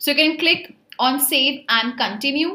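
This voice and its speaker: A woman with a high-pitched voice speaks in a raised, projected way. Her pitch varies in an ordinary way, over noticeable background noise. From India. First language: Hindi. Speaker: online tutor for job placement exams. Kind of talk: tutorial. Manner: casual, with filler words.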